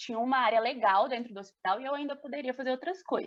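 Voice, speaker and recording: A woman's high-pitched voice. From Brazil, Belo Horizonte (Minas Gerais). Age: 20s. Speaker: speech therapist. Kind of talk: casual chat.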